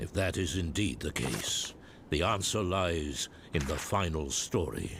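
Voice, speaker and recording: Over clear background noise, a man puts on a character voice with a very deep, low pitch. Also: fairly slow pace, ordinary pitch variation. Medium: video game. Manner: grave, formal.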